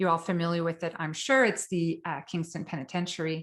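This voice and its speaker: A woman's fairly low-pitched voice at a very fast pace, over a quiet background. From Quebec, northern. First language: French. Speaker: psychotherapist, trauma specialist. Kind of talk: lecture.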